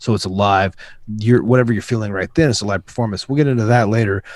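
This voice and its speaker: Over a quiet background, a man with a fairly low pitch and fairly even intonation sounds dry with no echo. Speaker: rapper and music production youtuber; music production youtuber. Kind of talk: casual chat. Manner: fast. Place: home room. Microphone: video call.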